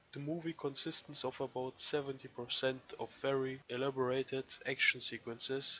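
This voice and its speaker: A man speaks in a monotone, with flat intonation. Noticeable background noise can be heard. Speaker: movie reviewer. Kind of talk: scripted review narration.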